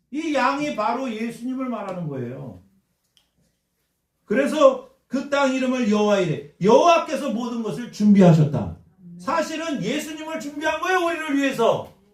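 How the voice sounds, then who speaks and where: In a room with audible echo, a man with an extremely high voice speaks at a moderate pace with lively intonation. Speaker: pastor. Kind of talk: sermon. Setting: church with congregation responding. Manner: call-and-response preaching, asks congregation questions.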